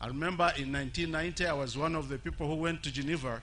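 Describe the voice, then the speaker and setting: Amid audible room echo, a man with a fairly high pitch talks at a very fast pace with fairly even intonation. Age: 70s. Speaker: HIV activist. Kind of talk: public speech. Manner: halting.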